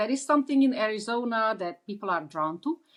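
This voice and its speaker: A woman with an Eastern European accent talks at a fairly quick pace in a fairly high voice. Her intonation is lively, and the background is quiet. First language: Eastern European language. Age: 60s. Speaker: author. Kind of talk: interview. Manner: halting, many fillers.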